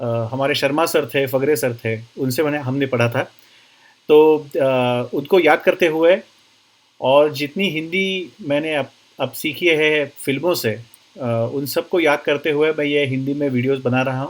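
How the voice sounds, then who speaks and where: The man's voice sits fairly high, with ordinary pitch variation. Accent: Marathi. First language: Marathi (speaking Hindi). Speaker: doctor and therapy teacher. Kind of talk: online course lecture. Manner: halting, with many fillers.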